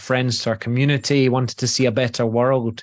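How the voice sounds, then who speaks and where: Moderate-paced speech from a man at medium pitch, with fairly even intonation and a quiet background. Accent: Scottish. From Scotland. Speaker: presence and relationship coach. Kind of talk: motivational talk. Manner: repetitive false starts.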